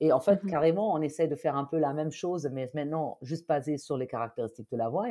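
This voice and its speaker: This woman has a very deep, low pitch and a dark, mellow tone with ordinary pitch variation. The recording is very clean, with a silent background. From Germany. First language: German (speaking French). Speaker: neuropsychologist. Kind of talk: interview. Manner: hesitant, many fillers.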